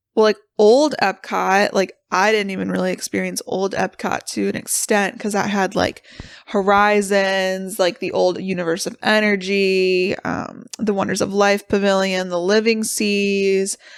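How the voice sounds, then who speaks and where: A woman talks loudly at a fairly slow pace. Her medium pitch carries a monotone, flat intonation. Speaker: podcast co-host. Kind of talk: casual chat.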